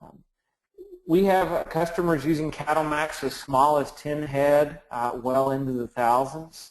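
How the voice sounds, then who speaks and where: A man with a Texan accent and a fairly high pitch, speaking at a fairly slow pace with fairly even intonation and big swings in loudness. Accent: Texan, noticeable. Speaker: software company presenter. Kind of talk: webinar presentation. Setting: online webinar.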